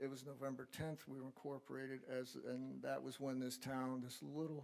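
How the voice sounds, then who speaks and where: This man's voice sits at a fairly high pitch and carries a dark, mellow tone. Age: 70s. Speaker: local historical society member. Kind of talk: public comment at council meeting.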